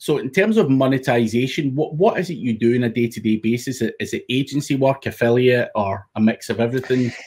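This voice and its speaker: Somewhat breathy and medium in pitch, a man talks at a very fast pace with hardly any pauses and ordinary pitch variation. The recording is very clean with a silent background. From UK. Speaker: podcast host. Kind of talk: podcast interview.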